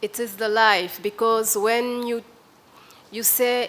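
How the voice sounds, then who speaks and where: Speaking in a West African French accent, the voice moves at a very slow pace with monotone, flat intonation. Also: woman. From Benin. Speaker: journalist. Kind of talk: panel discussion. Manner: halting.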